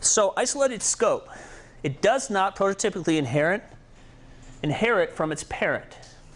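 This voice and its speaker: Over a quiet background, a man with a high pitch speaks at a moderate pace with lively intonation and long, frequent pauses. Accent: American. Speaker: programming instructor. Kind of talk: tutorial. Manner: casual, with fillers.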